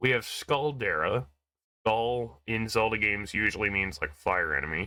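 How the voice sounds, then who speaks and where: Speaking at a moderate pace, a man uses a medium pitch, lively intonation and a bright, sharp tone, with vocal fry. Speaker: gaming YouTuber. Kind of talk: casual let's play commentary. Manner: animated.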